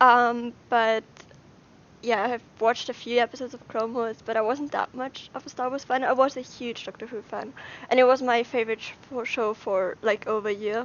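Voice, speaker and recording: With an Austrian accent, a woman with a high pitch speaks at a moderate pace with fairly even intonation and big swings in loudness. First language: German. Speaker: YouTuber. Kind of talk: casual livestream Q&A. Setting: livestream from brother's room.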